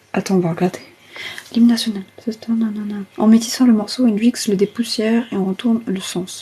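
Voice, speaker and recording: A woman whispering at a fairly quick pace over noticeable background noise. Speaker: ASMR streamer. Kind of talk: casual live stream chat. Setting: TikTok live stream. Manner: half-whispered.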